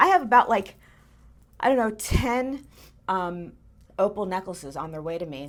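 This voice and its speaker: A woman at a medium pitch with lively intonation, big swings in loudness and long, frequent pauses, on a very clean recording with a silent background. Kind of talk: auction preview show-and-tell. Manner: chatty, with many fillers; fast.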